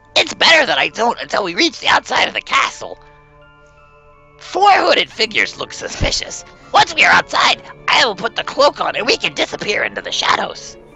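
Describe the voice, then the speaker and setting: Faint music plays in the background while a man does a put-on character voice at a fairly quick pace. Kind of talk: amateur character reading of game dialogue. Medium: game stream. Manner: earnest, anxious, urgent.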